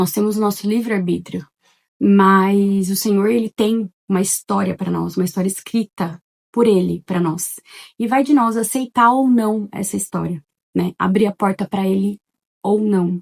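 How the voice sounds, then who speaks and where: Soft-spoken and medium-pitched, a woman talks at a fairly slow pace with fairly even intonation. The sound is dry and close, with no echo. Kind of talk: testimony. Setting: at home in living room. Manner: casual, chatty.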